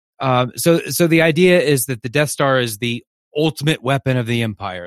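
A plain, everyday voice, fairly quick and lively in intonation, with a dry, close sound and no echo. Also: man. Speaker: podcast host, film fan. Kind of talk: casual chat.

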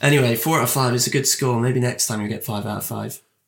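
A raspy, put-on character voice rattles along at a very fast pace. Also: man, medium pitch for a man. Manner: annoyed, irritated.

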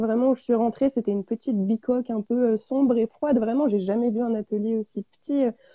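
The woman has an unremarkable speaking voice. Her pitch sits fairly high, with ordinary pitch variation. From France, Auvergne. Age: 20s. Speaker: ceramic artist. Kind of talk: live interview. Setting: online live stream.

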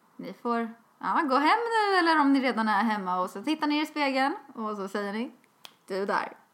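Lively intonation from a woman, high-pitched and moderately paced. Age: 20s. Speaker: podcast co-host. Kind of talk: casual chat. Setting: outdoors. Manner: talkative.

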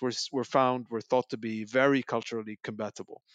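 In a monotone, flat intonation, a man speaks at medium pitch. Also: dry, close sound with no echo, quiet background. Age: 30s. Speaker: policy researcher. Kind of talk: panel discussion.

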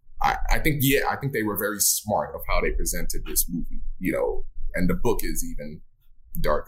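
A man with an American accent at a moderate pace, noticeable background noise around him. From US South, Miami, Florida. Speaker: film director and actor. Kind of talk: casual interview chat.

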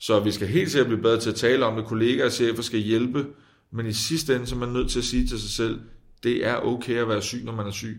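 A man talks at a fairly quick pace in a medium pitch with fairly even intonation. Room echo is audible. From Denmark, provinces. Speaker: politician. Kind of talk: interview. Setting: parliament building, away from studio.

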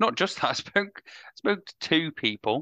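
Recorded with a dry, close sound with no echo over a quiet background, a man with a bright, sharp tone speaks at a moderate pace with ordinary pitch variation. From England, Mansfield (East Midlands). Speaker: podcast host, social worker. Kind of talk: casual political discussion.

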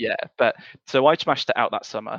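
A man speaks at a very fast pace with a British accent. The sound is dry and close with no echo, against a quiet background. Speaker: podcast co-host. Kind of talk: casual chat. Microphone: audio issues in early episodes.

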